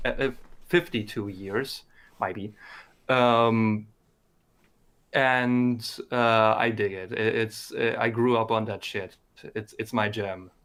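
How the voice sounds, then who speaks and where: With a German accent, a man at a medium pitch speaks at a very slow pace, leaving long, frequent pauses. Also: fairly even intonation. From Germany. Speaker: community member promoting his series. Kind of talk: casual chat. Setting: live stream. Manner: halting.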